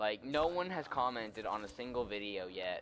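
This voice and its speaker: In a sad tone, a man at medium pitch speaks at a moderate pace with very wide pitch swings. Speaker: gaming YouTuber. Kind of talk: casual channel update while gaming. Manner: mellow, dull-sounding; sounds melodramatic and sad.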